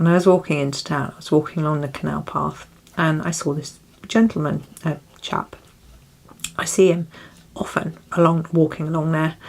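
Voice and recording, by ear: Over noticeable background noise, a woman with a southern English accent speaks at a moderate pace in a very deep, low pitch, with fairly even intonation and long, frequent pauses.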